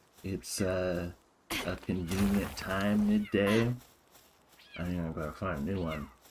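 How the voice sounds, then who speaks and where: There is noticeable noise behind this speaker. He is a man with a very deep, low pitch. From US, Oregon. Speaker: game streamer. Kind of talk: casual live stream chat. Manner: casual, hesitant fillers.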